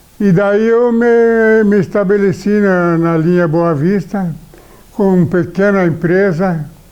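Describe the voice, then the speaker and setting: A man at a high pitch, talking at a very slow pace. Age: 80s+. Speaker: retired shopkeeper. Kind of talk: oral history interview. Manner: halting.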